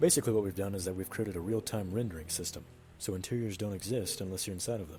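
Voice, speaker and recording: His intonation stays fairly level. The man's voice is somewhat breathy. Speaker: game developer. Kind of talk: gameplay commentary. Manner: monotone.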